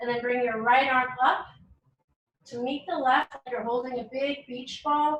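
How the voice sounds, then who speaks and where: A woman with a bright, sharp tone speaks in a high pitch with fairly even intonation. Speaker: yoga teacher. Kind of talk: yoga class instruction. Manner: eloquent.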